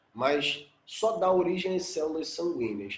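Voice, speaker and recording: The man's voice is fairly high, with lively intonation at a fairly slow pace. Audible room echo surrounds it. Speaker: biology teacher. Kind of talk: lecture.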